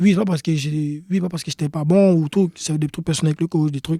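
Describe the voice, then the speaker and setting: At a fairly quick pace, a man with a high pitch and a dark, mellow tone keeps his intonation fairly even, sounding dry and close with no echo. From Ivory Coast. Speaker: professional soccer player. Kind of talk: podcast interview.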